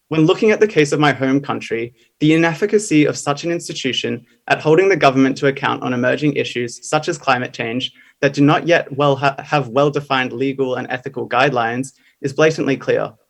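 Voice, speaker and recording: The pace is very fast as this man talks. Pitch rises and falls in an ordinary way. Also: fairly high pitch for a man. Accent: Australian. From Australia. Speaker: youth climate activist speaker. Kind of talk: conference speech. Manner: formal.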